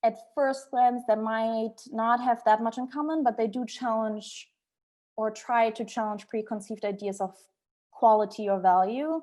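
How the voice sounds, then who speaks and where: A woman speaks at a fairly slow pace, her pitch fairly high and her tone dark and mellow. Her intonation stays fairly even over a quiet background. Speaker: architect, former architecture student. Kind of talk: lecture. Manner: halting.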